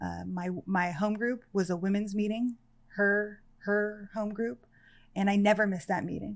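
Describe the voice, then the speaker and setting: This woman's pitch is medium. She speaks at a moderate pace with fairly even intonation. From Los Angeles area, California. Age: 30s. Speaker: person in addiction recovery. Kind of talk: personal testimony in interview.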